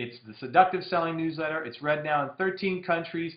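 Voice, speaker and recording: A high-pitched male voice, ordinary pitch variation, fairly quick pace. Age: 40s. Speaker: direct marketing copywriter. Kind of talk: casual monologue Q&A. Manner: loud; fast.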